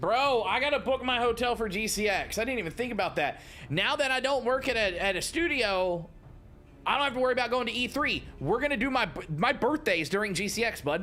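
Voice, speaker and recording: A man speaks in a raised, projected voice at an extremely high pitch and a fairly quick pace. His tone is animated and his intonation lively. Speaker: game streamer. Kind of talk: live gameplay stream chat. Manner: casual, animated.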